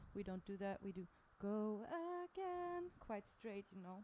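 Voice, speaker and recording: A woman talks at a fairly slow pace. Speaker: singer. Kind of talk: casual chat about a song.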